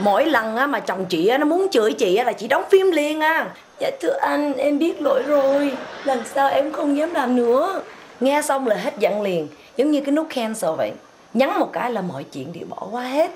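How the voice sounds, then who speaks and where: A woman talks at a high pitch with very wide pitch swings. Light background noise is audible. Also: moderate pace. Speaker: comic sketch performer. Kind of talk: casual phone chat, comedic monologue. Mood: boastful, playful, animated. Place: home room.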